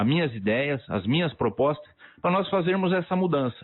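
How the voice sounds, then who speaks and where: This man's fairly high voice moves at a moderate pace with lively intonation. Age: 60s. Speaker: local political candidate. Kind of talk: radio interview. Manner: animated.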